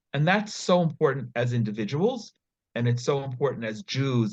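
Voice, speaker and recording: With an American accent, a man talks in a somewhat breathy voice with lively intonation. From US, New York / New Jersey area. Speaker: nonprofit founder. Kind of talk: interview.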